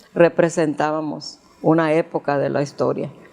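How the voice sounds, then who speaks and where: A woman speaks at a fairly slow pace. Noticeable background noise runs beneath her voice. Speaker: grandmother recounting her life story. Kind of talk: interview answer recalling childhood memories. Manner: hesitant, conversational, with repeated words.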